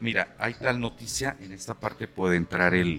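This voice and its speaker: A man speaks with a bright, sharp tone and a very deep, low pitch. His pitch varies in an ordinary way. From Aguascalientes, Mexico. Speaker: voice actor and announcing teacher. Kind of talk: casual interview chat. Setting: café.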